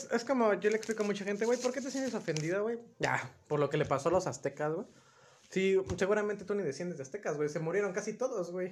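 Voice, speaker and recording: A man's high-pitched voice at a very fast pace, with lively intonation. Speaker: podcast co-host. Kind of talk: casual chat.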